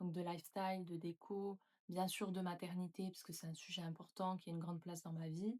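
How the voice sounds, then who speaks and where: A woman with a fairly low pitch and a somewhat breathy, dark, mellow tone talks at a fairly quick pace with monotone, flat intonation. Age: 20s. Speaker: YouTuber and nurse. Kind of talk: casual vlog talk to camera.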